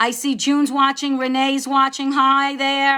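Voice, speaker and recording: Raised and projected, a woman's high-pitched voice with a bright, sharp tone and a New York accent moves at a fairly slow pace. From New York, Long Island area. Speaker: debut novelist. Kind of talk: live-stream book chat. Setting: live video stream. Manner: chatty, hesitant with fillers.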